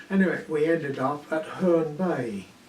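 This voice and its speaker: A man with a southern English accent at a fairly slow pace, with audible room echo and noticeable background noise. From southeast England, Kent. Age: 80s+. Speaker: war evacuee recalling wartime. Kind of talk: oral history interview. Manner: halting, with many fillers.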